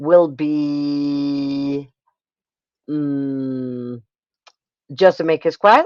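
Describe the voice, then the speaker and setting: A woman's very deep, low voice at a very slow pace, with fairly even intonation and long, frequent pauses. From Spain. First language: Spanish. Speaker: livestream host, booktuber. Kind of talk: casual livestream chat. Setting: livestream. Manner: halting, repeats words.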